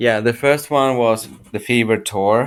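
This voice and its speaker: A man with a non-native accent speaks with ordinary pitch variation in a very clean recording with a silent background. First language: not English. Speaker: listener, fan. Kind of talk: interview.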